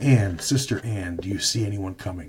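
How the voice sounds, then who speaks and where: In a raspy, put-on character voice, a man speaks at a moderate pace with a fairly low pitch and ordinary pitch variation. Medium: read story.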